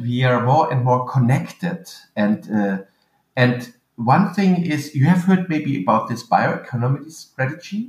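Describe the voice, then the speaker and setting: A somewhat breathy man with a German accent, medium in pitch, with lively intonation at a fairly slow pace. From western Germany (Eifel). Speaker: agricultural researcher. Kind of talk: interview. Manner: halting.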